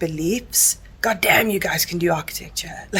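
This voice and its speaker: A woman with a strong South African accent speaks at a moderate pace. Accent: heavy South African. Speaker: book vlogger. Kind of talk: casual vlog chat. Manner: casual, with many fillers.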